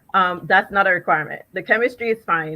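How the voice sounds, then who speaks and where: This woman speaks with a Jamaican accent. Her tone is bright and sharp. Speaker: chemist. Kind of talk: panel discussion. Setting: virtual live event.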